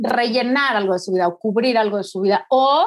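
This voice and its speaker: A normal speaking voice. It moves at a moderate pace. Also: woman. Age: 40s. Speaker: writer and speaker. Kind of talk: interview conversation.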